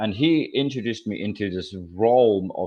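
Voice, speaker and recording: A man speaks at a fairly slow pace with a slight Scottish accent. His intonation is lively. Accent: slight Scottish hint. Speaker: philosophy student. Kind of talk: interview. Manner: halting, many repetitions.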